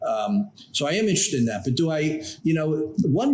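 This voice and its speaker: A man keeps a moderate pace against noticeable background noise. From New York, Long Island. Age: 60s. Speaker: trial lawyer, law firm founder. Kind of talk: interview.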